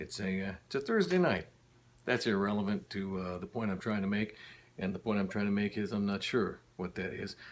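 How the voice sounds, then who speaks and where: A man with an unremarkable speaking voice talks at a fairly quick pace, his fairly low pitch kept in fairly even intonation. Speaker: former radio DJ. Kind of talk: casual talk to camera. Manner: rambling, wry, self-deprecating.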